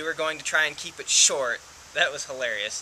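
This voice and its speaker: Fairly high in pitch, a man talks at a fairly quick pace. Noticeable background noise can be heard. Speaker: vlogger with dysautonomia. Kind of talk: casual talk to camera. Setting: outdoors. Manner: fast.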